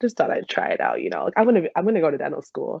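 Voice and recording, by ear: At a very fast pace, a woman speaks with a low pitch, very wide pitch swings, vocal fry and a slightly husky edge, in a dry, close sound with no echo.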